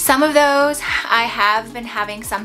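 Faint music can be heard behind the speaker. A woman talks with ordinary pitch variation. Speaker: vlogger. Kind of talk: casual vlog chat. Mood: cheerful, upbeat. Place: home room.

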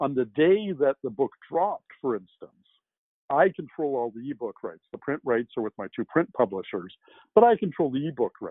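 A man with a Canadian accent, fairly high-pitched, at a moderate pace with very wide pitch swings, over a quiet background. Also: dry sound with no echo. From Canada. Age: 60s. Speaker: science fiction novelist; guest. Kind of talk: interview. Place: home room.

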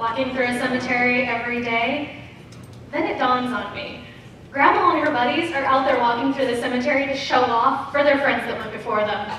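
A woman speaks at a high pitch and a fairly quick pace. Strong room echo and light background noise surround her voice. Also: fairly even intonation. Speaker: stand-up comedian. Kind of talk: stand-up comedy routine. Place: stage.

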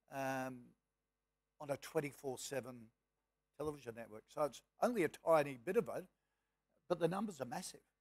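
A man with an Australian accent and a fairly high pitch, moderate pace, big swings in loudness and long, frequent pauses against a quiet background. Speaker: moderator and businessman; moderator. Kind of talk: panel moderation. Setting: stage with audience. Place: hall.

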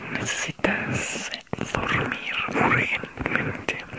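He speaks in a whisper. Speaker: ASMR creator; teacher. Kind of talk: ASMR sleep video. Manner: whispered. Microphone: studio mic.

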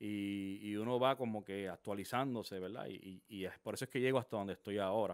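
The man's pitch is fairly low. His intonation is fairly even. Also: fairly quick pace, quiet background. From Puerto Rico (San Juan, Quintana); Puerto Rico. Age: 40s. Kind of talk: testimony. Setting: studio. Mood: earnest, reflective testimony. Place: studio. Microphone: studio mic.

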